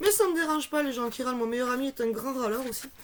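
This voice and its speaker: High pitch and ordinary pitch variation in a woman's voice. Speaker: esoteric video blogger. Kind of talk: casual tutorial.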